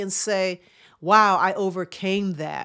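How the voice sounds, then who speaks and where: An unremarkable speaking voice from a woman at medium pitch and a fairly slow pace, on a very clean recording with a silent background. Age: 50s. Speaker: chiropractor and wellness podcast host. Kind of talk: motivational monologue.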